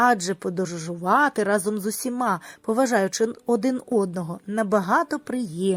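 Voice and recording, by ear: Reading aloud in a natural voice, pitch shifting in an ordinary way.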